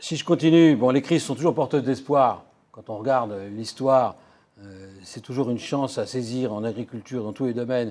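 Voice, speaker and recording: This man has a dark, mellow tone and a medium pitch, speaking at a moderate pace. His pitch variation is ordinary, while his loudness swings widely. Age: 60s. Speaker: economist and futurist lecturer. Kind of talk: lecture. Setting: conference hall with audience.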